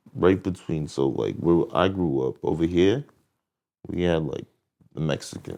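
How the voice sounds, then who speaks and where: A man's very deep, low voice, dark and mellow in tone, at a fairly slow pace with ordinary pitch variation. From New Jersey, US. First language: French. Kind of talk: casual interview chat.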